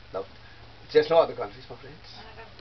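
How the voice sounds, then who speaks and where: There is noticeable background noise behind a man talking. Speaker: tour guide. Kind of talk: guided tour talk to visitors. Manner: engaging storyteller.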